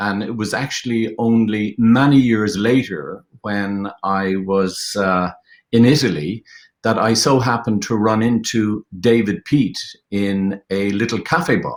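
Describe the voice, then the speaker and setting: A man speaks at a fairly slow pace. His pitch is fairly low and varies in an ordinary way. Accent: Irish. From Ireland. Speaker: film director and producer. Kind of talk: panel discussion. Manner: halting, many fillers.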